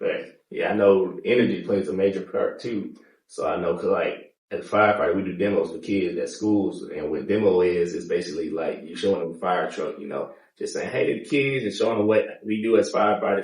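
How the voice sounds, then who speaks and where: Fairly quick speech with audible room echo. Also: man. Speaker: podcast host and firefighter. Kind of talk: casual interview chat.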